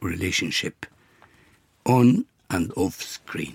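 This man speaks very slowly with an Arabic accent, his pitch fairly low and somewhat breathy. His intonation is lively. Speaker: actor. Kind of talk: interview. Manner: halting.

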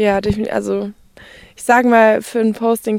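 In a monotone, flat intonation, a woman talks at a medium pitch. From Austria, Kleinwalsertal (Vorarlberg). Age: 20s. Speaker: outdoor content creator. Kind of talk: interview.

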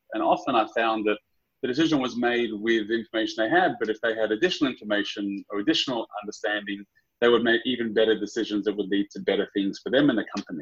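Talking very fast in an Australian accent, a man keeps a medium pitch with ordinary variation. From Sydney, Australia. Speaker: startup founder and CEO. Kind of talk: casual interview.

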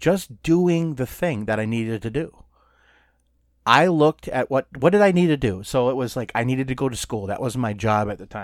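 A man with a normal speaking voice talks at a moderate pace and medium pitch, in an American accent. His intonation is lively, and the recording is very clean with a silent background. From Minnesota. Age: 40s. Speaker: podcast co-host. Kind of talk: casual chat.

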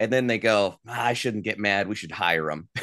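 Against a quiet background, a man with an American accent speaks in a fairly low voice with ordinary pitch variation. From US South, western North Carolina (Asheville). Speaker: trade show presenter and mentalist entertainer. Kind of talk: interview. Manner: animated.

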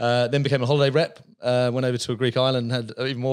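A man talks at a very fast pace in an English accent. Noticeable background noise runs underneath. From England, just outside London. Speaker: business founder and CEO. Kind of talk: casual interview.

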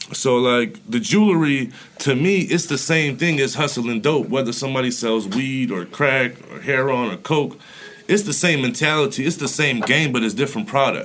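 The voice is a normal speaking voice with an American accent. It moves at a moderate pace with lively intonation. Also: man, fairly high pitch for a man. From Florida. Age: 30s. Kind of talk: casual chat.

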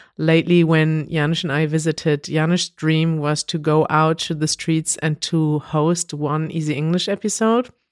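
A woman speaks in a very deep, low pitch, recorded dry and close with no echo. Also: moderate pace. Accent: German. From Germany. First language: German. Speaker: language video host and co-founder. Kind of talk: casual chat.

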